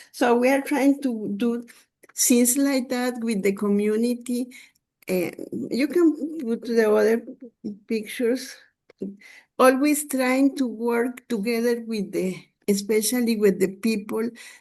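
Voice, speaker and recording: At a fairly slow pace with long, frequent pauses, a woman speaks at a high pitch in a dark, mellow tone. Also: ordinary pitch variation. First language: Spanish. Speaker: consumer health advocate. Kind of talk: webinar presentation. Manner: halting.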